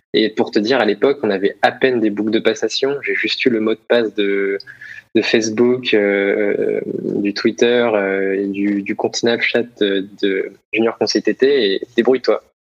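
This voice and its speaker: A man's medium-pitched voice unfolds fairly slowly with fairly even intonation. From Paris region, Essonne. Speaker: former student entrepreneur. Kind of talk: casual interview. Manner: hesitant, many repetitions.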